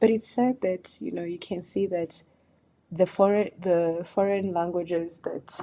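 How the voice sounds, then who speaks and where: A woman with a Kenyan accent speaks at a fairly slow pace. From Kenya, Duruma community. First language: Duruma. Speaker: YouTuber on African culture. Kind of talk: video commentary vlog.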